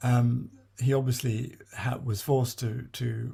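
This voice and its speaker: The tone is dark and mellow, somewhat breathy and monotone, with flat intonation on a very clean recording with a silent background. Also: man. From born in South China to British missionary parents. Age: 70s. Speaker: memoirist. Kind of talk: autobiographical talk with slides. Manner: halting, many fillers and restarts.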